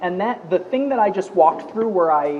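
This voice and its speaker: A man's high voice carries lively intonation against noticeable background noise. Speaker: data scientist. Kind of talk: tutorial.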